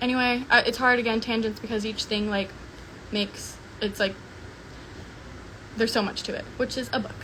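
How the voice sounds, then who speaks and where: A woman speaks very fast at a fairly high pitch, her intonation fairly even. Noticeable background noise and audible room echo come through. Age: 20s. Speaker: social media personality. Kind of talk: livestream monologue. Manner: mumbling; casual filler-heavy.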